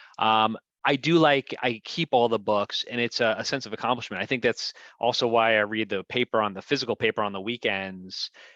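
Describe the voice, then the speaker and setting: Bright, sharp tone with an American accent, fairly quick pace and ordinary pitch variation, in a dry, close sound with no echo against a quiet background. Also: man, medium pitch for a man. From New Jersey (Fair Lawn). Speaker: local politician. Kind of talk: casual chat.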